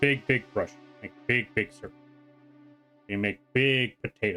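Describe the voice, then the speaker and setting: A put-on character voice with big swings in loudness moves at a moderate pace over faint music in the background. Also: man, medium pitch for a man. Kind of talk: simple broken speech. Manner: playful.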